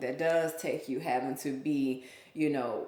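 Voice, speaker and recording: In an American accent, a woman speaks with a very deep, low pitch and monotone, flat intonation, with audible room echo and noticeable background noise. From US South, Memphis (Whitehaven), Mississippi family. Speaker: small business owner. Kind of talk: casual chat.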